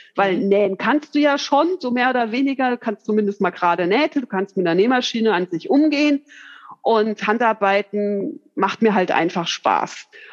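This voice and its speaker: Moderate-paced speech from a woman, dry and close with no echo. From Hesse, Bad Homburg. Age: 40s. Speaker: hobby seamstress, course participant. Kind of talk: interview chat. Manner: hesitant, many fillers.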